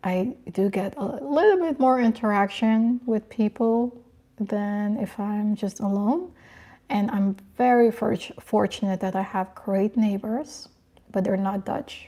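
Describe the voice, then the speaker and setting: Somewhat breathy and dark, mellow in tone, a woman's fairly high voice moves at a fairly slow pace with ordinary pitch variation. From Curacao. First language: Papiamentu. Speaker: lifestyle and fashion YouTuber. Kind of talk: livestream chat reading comments. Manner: casual, hesitant with fillers.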